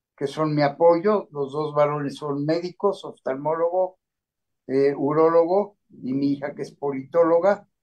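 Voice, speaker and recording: With a plain, everyday voice, a man speaks at a fairly slow pace, fairly high in pitch, with fairly even intonation. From Mexico City. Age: 60s. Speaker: patient giving testimony. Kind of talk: self-introduction in panel talk.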